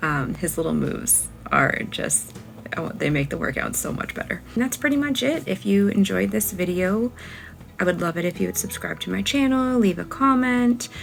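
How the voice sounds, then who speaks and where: A woman speaks quietly at a moderate pace, with noticeable background noise. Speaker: lifestyle vlogger. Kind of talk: casual vlog talk. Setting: at home.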